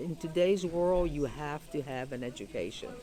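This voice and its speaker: With a Greek accent, a woman speaks with ordinary pitch variation. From Greece, Patras, moved to Pittsburgh at 11. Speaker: retired Greek school teacher, community member. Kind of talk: interview. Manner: halting, many fillers.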